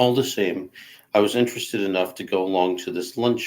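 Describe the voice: This is plain reading aloud, with pitch that varies in an ordinary way.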